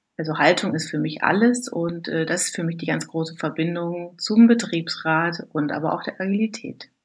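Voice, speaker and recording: The voice is somewhat breathy, with ordinary pitch variation. The recording is very clean, with a silent background. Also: woman. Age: 40s. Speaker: works council member, former scrum master. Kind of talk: interview. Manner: hesitant, many filler sounds.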